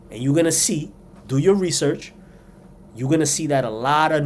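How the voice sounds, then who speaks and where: Audible room echo follows a man with a New York accent who talks at a fairly quick pace with fairly even intonation. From New York City, South Bronx. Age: 40s. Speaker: commentator. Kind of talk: opinion monologue.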